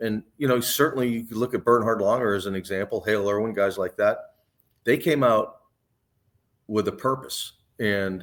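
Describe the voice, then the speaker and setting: Over a silent background in a very clean recording, a man speaks at medium pitch and a moderate pace, with ordinary pitch variation and long, frequent pauses. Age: 60s. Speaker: professional golfer. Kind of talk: interview. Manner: casual, conversational.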